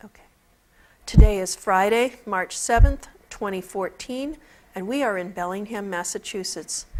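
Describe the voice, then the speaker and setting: This is a normal speaking voice at a moderate pace. Pitch varies in an ordinary way, and there are big swings in loudness. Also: woman, medium pitch for a woman. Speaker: oral history interviewer. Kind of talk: formal interview introduction. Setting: studio.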